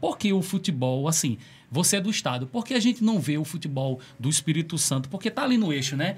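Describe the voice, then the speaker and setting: Lively intonation colors a man's fairly high voice as he talks. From Rio de Janeiro, Brazil. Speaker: podcast co-host. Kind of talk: casual interview chat. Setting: studio. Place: studio. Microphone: studio mic.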